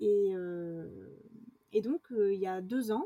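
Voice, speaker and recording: This is a woman with a fairly high pitch. The sound is dry and close, with no echo. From France, rural village. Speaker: adventurer and actress. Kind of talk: interview. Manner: halting, many fillers.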